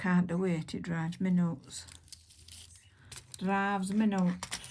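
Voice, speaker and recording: A woman speaks in a Yorkshire accent, somewhat breathy. Her intonation is fairly even. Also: fairly slow pace. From Yorkshire, northern England. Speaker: nail artist, video creator. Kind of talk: casual tutorial chat while working. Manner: rambling, hesitant with many fillers.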